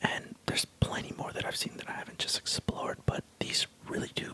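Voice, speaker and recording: A man is whispering. Noticeable background noise sits underneath. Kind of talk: ASMR tech review talk. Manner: whispered.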